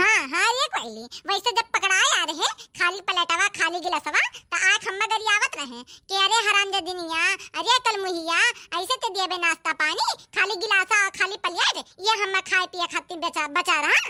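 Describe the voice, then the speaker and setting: A cartoonish character voice, female-sounding and extremely high-pitched. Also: moderate pace. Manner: grumbling, talkative.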